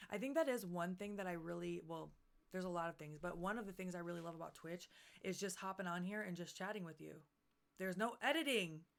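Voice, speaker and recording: A woman speaks with a fairly low pitch. Her pace is very fast. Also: ordinary pitch variation. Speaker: streamer and wrestler. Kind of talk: casual livestream chat. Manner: stumbling, self-correcting.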